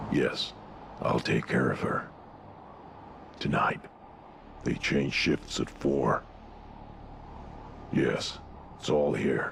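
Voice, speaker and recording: In a put-on character voice, a man speaks at a very slow pace. He leaves long, frequent pauses, and background noise is clearly heard. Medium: video game. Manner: terse, clipped.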